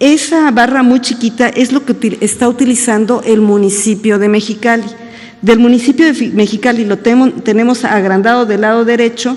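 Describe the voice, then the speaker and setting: With noticeable background noise behind her, a woman talks at a fairly high pitch with fairly even intonation and very even loudness. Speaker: government agency director. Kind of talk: press conference Q&A. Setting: press conference. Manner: fast.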